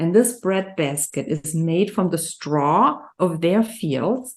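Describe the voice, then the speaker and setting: Over a quiet background, a woman with a German accent speaks in a fairly low pitch with lively intonation. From Germany. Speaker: nutrition health coach. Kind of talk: interview conversation.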